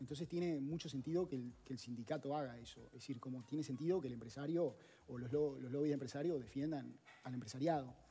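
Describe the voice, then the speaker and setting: A man's fairly high, somewhat breathy voice with a dark, mellow tone, very fast pace and ordinary pitch variation. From Uruguay. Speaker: economist; guest. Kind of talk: interview; interview answer. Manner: hesitant, many fillers. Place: studio. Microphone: headset.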